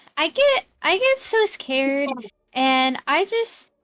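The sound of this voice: Speaking slowly, a woman uses a high pitch with big pitch swings and a fairly bright tone.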